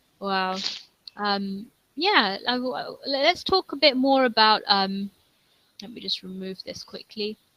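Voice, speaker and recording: A woman's fairly high voice with a London accent, bright and sharp in tone, broken by long, frequent pauses. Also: lively intonation, fairly slow pace, big swings in loudness. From England, London. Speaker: online English tutor. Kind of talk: online English conversation lesson.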